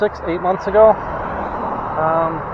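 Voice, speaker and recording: Against noticeable background noise, a man with an American accent speaks at a high pitch. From US Northeast (Rochester, New York). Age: 60s. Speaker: vlogger with COPD. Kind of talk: casual vlog monologue. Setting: outdoors riding an e-bike. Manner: rambling, hesitant with many fillers.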